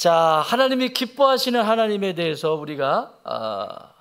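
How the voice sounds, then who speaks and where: A man's voice with very wide pitch swings. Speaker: senior pastor. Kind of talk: sermon.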